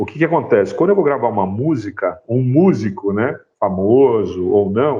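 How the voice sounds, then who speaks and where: A man at medium pitch with very wide pitch swings and hardly any pauses. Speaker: sound designer and university professor. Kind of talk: guest talk in a class. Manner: varies pace, speeds up and slows down.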